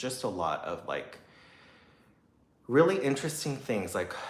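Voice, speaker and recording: In an American accent, a man at medium pitch speaks at a moderate pace with audible room echo. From US, Taiwanese American family. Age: 30s. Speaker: singer and YouTuber. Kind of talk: casual livestream chat. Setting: livestream. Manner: halting, many fillers and restarts.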